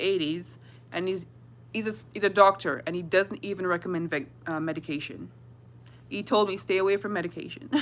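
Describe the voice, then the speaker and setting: With lively intonation and a bright, sharp tone, a woman speaks at a medium pitch on a very clean recording with a silent background. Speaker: fasting vlogger. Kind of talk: casual livestream chat. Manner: fast.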